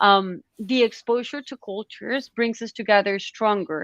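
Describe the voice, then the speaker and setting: A woman with a non-native accent speaks at a medium pitch and a moderate pace. Her intonation is fairly even, and the sound is dry and close with no echo against a quiet background. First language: not English. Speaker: panel moderator. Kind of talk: online panel discussion. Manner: halting, many fillers and restarts.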